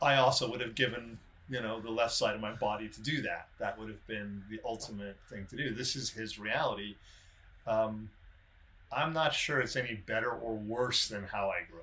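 Over noticeable background noise, a man talks at a moderate pace with fairly even intonation and big swings in loudness. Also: medium pitch for a man. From South Africa, then San Diego from age twelve. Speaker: podcast co-host. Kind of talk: casual chat. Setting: video call.

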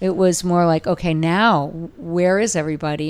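A woman with a Californian accent and a very deep, low pitch, at a fairly slow pace with fairly even intonation. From Southern California, Orange County. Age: 60s. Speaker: dog rescue founder. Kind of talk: casual interview. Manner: hesitant with frequent fillers.

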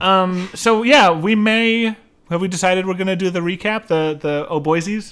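At a moderate pace, a man speaks with a high pitch and ordinary pitch variation. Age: 30s. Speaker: podcast co-host. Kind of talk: casual chat.

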